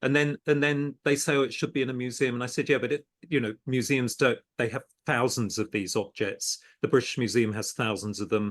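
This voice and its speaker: A plain, everyday voice from a man at medium pitch, with ordinary pitch variation and a fairly quick pace. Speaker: podcast host and art business lecturer. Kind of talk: podcast interview host.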